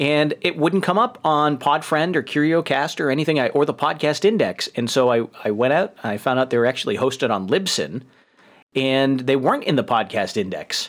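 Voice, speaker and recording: In a very clean recording with a silent background, a man's pitch swings very widely. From New York. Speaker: podcast host. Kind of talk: casual banter. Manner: joking, laughs often.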